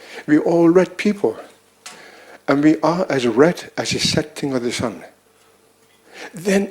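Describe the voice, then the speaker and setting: Against noticeable background noise, a man with a high pitch speaks at a very slow pace with ordinary pitch variation. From Greenland. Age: 70s. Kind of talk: conference speech.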